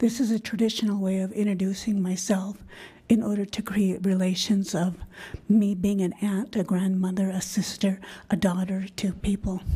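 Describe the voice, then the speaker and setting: A woman's somewhat breathy voice, medium in pitch, with a dark, mellow tone, monotone, flat intonation and a moderate pace. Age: 60s. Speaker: public commenter. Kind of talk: public comment. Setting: school board meeting.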